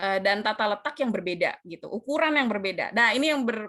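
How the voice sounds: What you hear is a natural reading voice.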